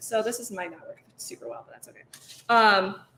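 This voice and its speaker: With an American accent, a woman talks very fast in a fairly high, bright, sharp voice with vocal fry. Her pitch varies in an ordinary way. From Michigan, US. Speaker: cheesemonger. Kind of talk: casual chat.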